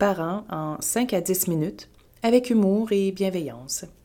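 In a Quebec accent, a woman speaks at a very slow pace with a medium pitch and very wide pitch swings. Her tone is dark and mellow, on a very clean recording with a silent background. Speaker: babywearing instructor. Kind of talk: podcast monologue. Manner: casual, hesitant with fillers.

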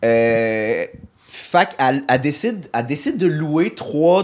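Fairly high in pitch, this man has a normal speaking voice. His intonation is lively. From Montreal, Quebec. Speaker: comedian. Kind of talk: casual chat.

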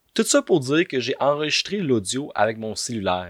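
In a Quebec accent, a man at a medium pitch speaks in an animated tone at a moderate pace, his pitch swinging very widely, with a dry, close sound and no echo on a very clean recording over a silent background. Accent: Québécois French. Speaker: podcaster. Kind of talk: comedic monologue.

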